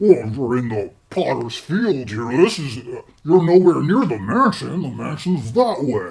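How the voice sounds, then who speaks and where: A man speaks in a put-on character voice at a moderate pace. His pitch sits fairly high. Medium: actual play. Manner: muttering, slow, dutiful.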